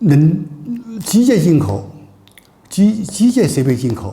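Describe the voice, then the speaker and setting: The speaker uses vocal fry and very wide pitch swings at a very slow pace. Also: man. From China. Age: 80s+. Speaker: entrepreneur, former richest man. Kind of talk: business talk, personal storytelling. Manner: hesitant, repetitive.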